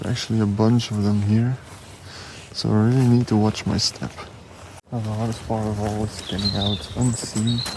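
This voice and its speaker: A soft-spoken man talks at a moderate pace with a fairly low pitch and monotone, flat intonation. Noticeable background noise runs underneath. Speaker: nature photographer vlogger. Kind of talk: casual vlog narration. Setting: outdoors.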